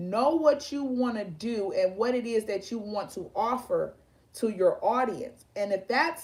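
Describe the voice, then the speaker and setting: A woman speaks fairly slowly at a fairly high pitch, somewhat breathy. Her pitch swings very widely. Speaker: online show host. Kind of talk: casual talk to camera. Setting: video stream. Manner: halting, repeats words.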